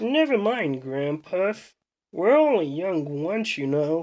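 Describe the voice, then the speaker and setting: A put-on, female-sounding character voice at a middle pitch and a fairly slow pace. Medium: read story.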